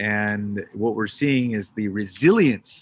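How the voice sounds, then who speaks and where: A man with an American accent, his pitch varying in an ordinary way. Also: quiet background. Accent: sounds American. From Britain. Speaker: crypto payments entrepreneur. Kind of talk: panel discussion. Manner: animated.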